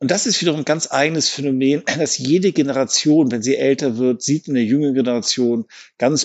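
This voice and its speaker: A man's medium-pitched, ordinary speaking voice at a moderate pace. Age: 50s. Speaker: psychiatrist. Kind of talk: expert interview.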